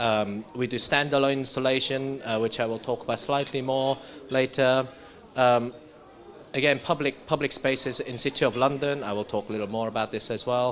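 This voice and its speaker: A man with a medium pitch talks at a fairly quick pace with fairly even intonation, over noticeable background noise. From South Korea. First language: Korean. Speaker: architect. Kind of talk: presentation. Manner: halting.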